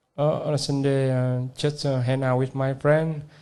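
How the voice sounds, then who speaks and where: Audible room echo hangs around this recording. The speaker is a man with a dark, mellow tone. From Vietnam. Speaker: language student. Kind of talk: classroom conversation. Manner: halting, many fillers.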